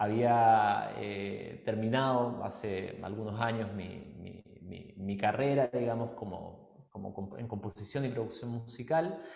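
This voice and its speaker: A man talks very slowly at a medium pitch, with ordinary pitch variation and big swings in loudness. Audible room echo and noticeable background noise accompany him. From Chile. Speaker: musician and personal development workshop leader. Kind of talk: podcast interview.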